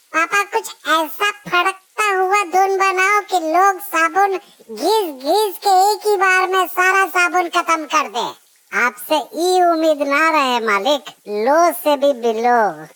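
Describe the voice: A woman talks in a cartoonish character voice at an extremely high pitch, with lively intonation and very even loudness. Her pace is fairly slow, with hardly any pauses.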